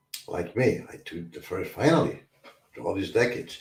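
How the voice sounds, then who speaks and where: Somewhat breathy, the man speaks in a dark, mellow tone. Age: 60s. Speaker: recovery talk show host. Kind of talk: livestream talk on addiction recovery. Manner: halting, repetitive.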